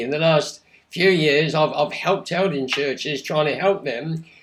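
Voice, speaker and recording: In an English accent, a man talks at a moderate pace with a fairly high pitch and ordinary pitch variation. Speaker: pastor. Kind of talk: short talk to camera. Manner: halting.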